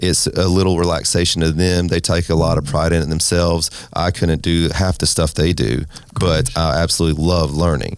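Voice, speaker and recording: Over noticeable background noise, a man speaks at a fairly quick pace with a very deep, low pitch. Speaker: restaurant owner and race team owner. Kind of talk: interview. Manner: fast.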